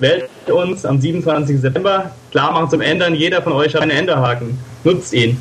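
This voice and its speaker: There is noticeable background noise behind this man. His pitch is fairly high with ordinary variation, and his loudness stays very even. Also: moderate pace. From Germany, Koblenz area (Rhineland-Palatinate). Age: 20s. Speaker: politician, party candidate. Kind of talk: interview.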